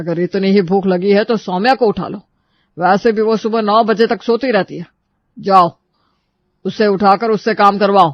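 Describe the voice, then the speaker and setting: A man's put-on, gruff character voice, high in pitch, at a moderate pace with fairly even intonation and long, frequent pauses. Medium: cartoon. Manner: gruff, scolding.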